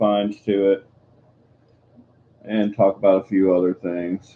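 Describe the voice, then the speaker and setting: Quiet and fairly slow, a man speaks at fairly low pitch in monotone, flat intonation. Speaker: coin collecting live streamer. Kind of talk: casual live stream chat. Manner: quiet, subdued.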